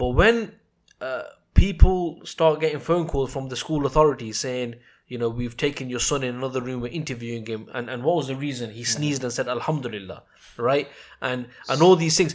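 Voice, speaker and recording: A man with a British accent at a medium pitch, fairly quick pace and ordinary pitch variation, in a very clean recording with a silent background. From England. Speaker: podcast host. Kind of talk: podcast interview.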